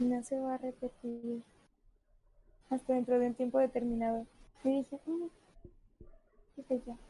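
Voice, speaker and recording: Speaking at a moderate pace with long, frequent pauses, a woman uses a high pitch, a dark, mellow tone and monotone, flat intonation. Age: 20s. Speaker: podcast co-host. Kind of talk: casual chat. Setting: live stream.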